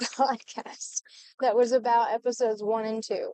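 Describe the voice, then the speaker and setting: A woman shouts at a fairly slow pace. The sound is dry and close, with no echo. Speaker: podcast co-host. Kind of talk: casual chat. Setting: in a car. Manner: soft-spoken; practically yelling into the mic.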